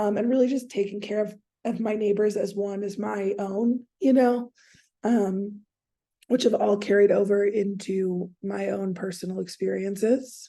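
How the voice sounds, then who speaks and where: A woman speaks with an American accent at a fairly slow pace. Her medium-pitched voice has a dark, mellow tone. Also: fairly even intonation. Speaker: counseling student. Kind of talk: class presentation. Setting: screen recording. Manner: hesitant, many fillers.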